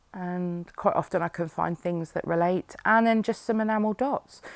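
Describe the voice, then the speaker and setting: On a very clean recording with a silent background, a woman with a British accent speaks at a fairly slow pace, her intonation fairly even. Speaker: scrapbooking YouTuber. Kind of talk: process video voiceover. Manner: hesitant, many fillers.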